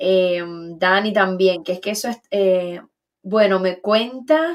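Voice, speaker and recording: A very slow pace with ordinary pitch variation. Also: woman. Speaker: online talk show host. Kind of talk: casual interview conversation.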